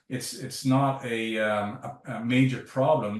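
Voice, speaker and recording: A man with a Canadian accent has a plain, everyday voice, medium in pitch, with fairly even intonation. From Canada. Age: 60s. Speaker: sports science professor. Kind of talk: interview.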